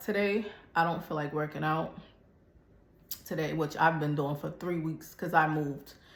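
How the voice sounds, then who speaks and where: Audible room echo surrounds a woman speaking at a moderate pace. Her pitch is fairly low, with ordinary pitch variation. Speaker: fitness vlogger. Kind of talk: casual chat. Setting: gym.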